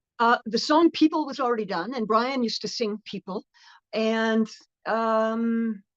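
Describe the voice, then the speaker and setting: A woman with a normal speaking voice talks at a fairly slow pace, her fairly high pitch showing ordinary variation in a dry, close sound with no echo. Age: 60s. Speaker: rock singer. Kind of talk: interview. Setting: live stream.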